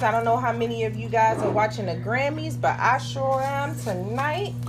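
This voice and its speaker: With a Baltimore accent, a woman talks at a moderate pace with hardly any pauses. Audible room echo and noticeable background noise fill the recording. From Baltimore, Maryland, US. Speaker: home cooking channel host. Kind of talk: cooking tutorial. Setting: home kitchen, filmed by a helper. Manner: casual, chatty.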